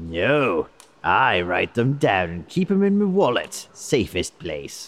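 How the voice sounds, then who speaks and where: A man puts on a character voice at a medium pitch, swinging very widely in pitch at a fairly slow pace. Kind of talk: comic overacting. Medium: audio drama. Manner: blustering, pompous, grandiloquent.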